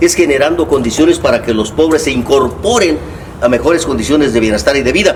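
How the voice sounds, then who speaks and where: A man speaks with audible echo from the room and noticeable noise in the background. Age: 70s. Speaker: left-wing politician. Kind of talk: casual interview chat. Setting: at home during a meal.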